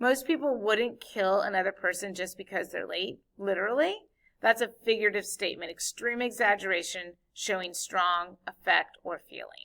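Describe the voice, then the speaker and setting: This woman's voice sits at a medium pitch with a bright, sharp tone. She speaks at a moderate pace. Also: ordinary pitch variation. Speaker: high school English teacher. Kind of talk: recorded lesson. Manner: casual.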